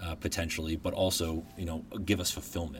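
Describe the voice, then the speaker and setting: This man has a very deep, low voice that is somewhat breathy. He speaks at a fairly quick pace. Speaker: podcast host, guest. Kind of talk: casual interview.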